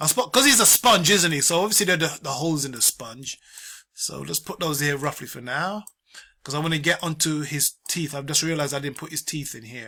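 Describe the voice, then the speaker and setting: Bright and sharp in tone, a man with a fairly high pitch talks at a fairly quick pace, with ordinary pitch variation and big swings in loudness. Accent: British. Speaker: art tutorial teacher. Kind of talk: tutorial. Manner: fast; casual.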